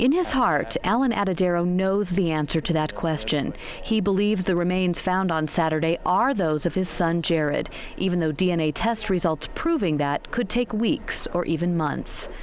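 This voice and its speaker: The voice keeps very even loudness and ordinary pitch variation. Noticeable background noise is present. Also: woman, fairly low pitch for a woman, moderate pace. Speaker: news reporter and voiceover artist. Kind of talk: TV news package narration. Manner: empathetic, measured.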